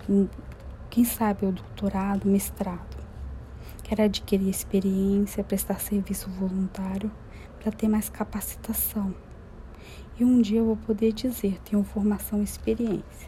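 A woman's fairly slow, monotone, flat delivery with long, frequent pauses. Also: medium pitch for a woman. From Brazil, interior of Minas Gerais. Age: 30s. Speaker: single mother and university student. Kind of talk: personal testimony, read aloud.

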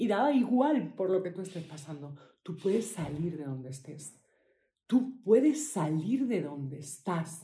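Her voice is somewhat breathy, a woman's with a fairly low pitch and a dark, mellow tone that swings very widely in pitch. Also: fairly slow pace, big swings in loudness. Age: 40s. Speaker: podcast host, healing coach for women. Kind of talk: personal testimony. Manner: halting, with fillers and repetitions.

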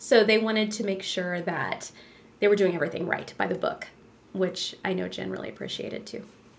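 A woman's medium-pitched voice at a fairly quick pace over noticeable background noise. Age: 40s. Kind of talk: casual interview conversation.

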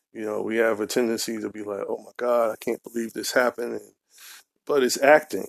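A man with an American accent speaks at a fairly quick pace, his voice dry and close with no echo on a very clean recording against a silent background. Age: 40s. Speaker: podcast host, fatherhood and men's health advocate. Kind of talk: solo podcast monologue.

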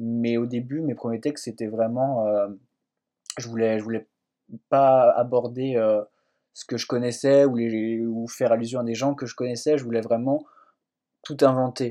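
In a dark, mellow tone, a man talks at a medium pitch with monotone, flat intonation and a fairly slow pace. Long, frequent pauses and big swings in loudness mark his delivery. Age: 20s. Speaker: fiction writer. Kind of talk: interview. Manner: halting, many hesitations.

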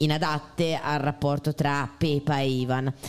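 This woman talks at a very slow pace. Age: 30s. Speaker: podcast host. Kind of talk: casual chat about film.

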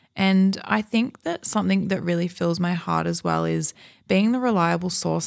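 On a very clean recording with a silent background, a woman with an Australian accent speaks at a moderate pace. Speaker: podcast host. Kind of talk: casual monologue. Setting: home recording in Malibu hills. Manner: animated.

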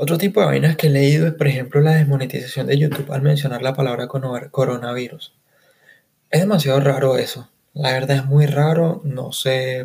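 A man's somewhat breathy, fairly high voice in a Caracas accent, with a fairly quick pace and fairly even intonation. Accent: Venezuelan Spanish (Caracas). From Caracas, Venezuela. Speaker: podcast host. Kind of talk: casual solo monologue.

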